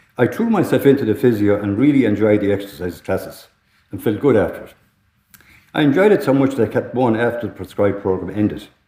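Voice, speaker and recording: In an Irish accent, a man talks at a very fast pace, his dark, mellow, medium-pitched voice showing ordinary pitch variation and big swings in loudness. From Ireland, Tipperary. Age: 60s. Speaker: lung transplant recipient. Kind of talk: testimony.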